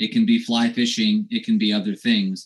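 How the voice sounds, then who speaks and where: A man talking at a very slow pace against a quiet background. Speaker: war veteran. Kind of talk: testimony. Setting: video call. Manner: halting. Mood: earnest, personal. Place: home room. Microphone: video call.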